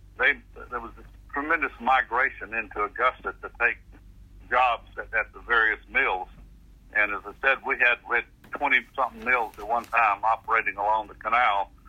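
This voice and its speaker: At a moderate pace, a man speaks in a Southern US accent. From Central Florida. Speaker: public agency director. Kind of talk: interview.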